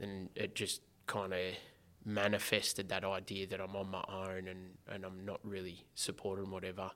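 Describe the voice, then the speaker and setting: A man's very deep, low voice with an Australian accent, in a very clean recording with a silent background. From Geelong, Victoria, Australia. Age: 20s. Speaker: former prisoner and social entrepreneur. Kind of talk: personal testimony in interview.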